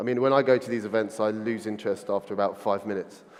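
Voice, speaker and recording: This man speaks with a London accent at a fairly low pitch. His intonation is fairly even. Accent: London, drops T's. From London, England. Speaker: agency founder, conference speaker. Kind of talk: conference keynote talk. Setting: stage with audience. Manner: fast.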